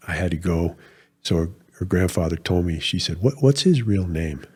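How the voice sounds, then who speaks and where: Over a very clean recording with a silent background, a man with a very deep, low pitch talks somewhat breathily at a fairly quick pace. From New England, Rhode Island. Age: 60s. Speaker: retired military officer. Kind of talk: podcast interview.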